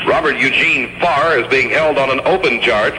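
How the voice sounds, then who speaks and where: A man speaking at a fairly quick pace over noticeable background noise. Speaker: radio news reporter. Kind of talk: radio newscast.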